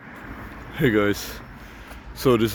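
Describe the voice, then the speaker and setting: The man talks very slowly, and noticeable noise can be heard behind him. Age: 20s. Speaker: vlogger, apprentice cook. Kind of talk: casual vlog. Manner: halting.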